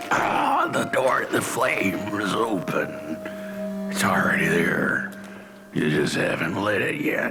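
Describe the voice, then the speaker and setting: Fairly slow put-on character voice from a man, over clear background noise. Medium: machinima. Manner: rambling, cryptic.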